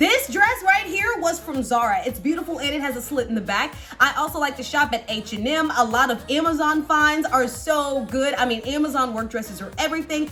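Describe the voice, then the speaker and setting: A woman with a high-pitched, raised and projected voice talks with hardly any pauses over background music. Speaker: news anchor. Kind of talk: casual talk to camera, tutorial.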